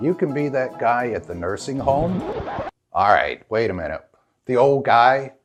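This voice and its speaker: A man speaks at a medium pitch with lively intonation. Music plays in the background. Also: moderate pace. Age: old. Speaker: voice over narrator. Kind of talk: comedic scripted intro to camera.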